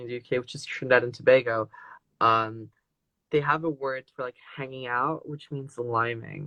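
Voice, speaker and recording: A man with a French accent, monotone and flat, bright and sharp in tone, in a dry, close sound with no echo. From France, with Moroccan mother, raised partly abroad. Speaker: guest. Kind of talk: casual interview. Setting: live online video stream.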